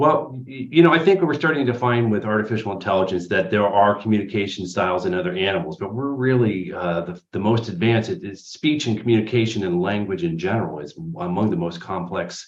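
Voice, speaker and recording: In an unremarkable speaking voice, a man talks at a fairly quick pace with fairly low pitch and lively intonation. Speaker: speech therapist. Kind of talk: interview answer.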